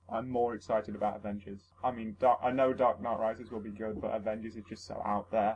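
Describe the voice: A man's fairly low voice at a fairly quick pace, with little pitch movement and a slightly husky edge.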